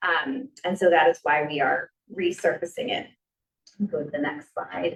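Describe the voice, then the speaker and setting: Here is a woman with an unremarkable speaking voice. Her pitch sits fairly low and her intonation is lively. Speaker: teacher presenting subcommittee proposal. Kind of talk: presentation at public meeting. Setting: school committee meeting in library.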